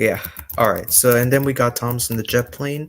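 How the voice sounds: A man's fairly bright, medium-pitched voice at a fairly quick pace, intonation fairly even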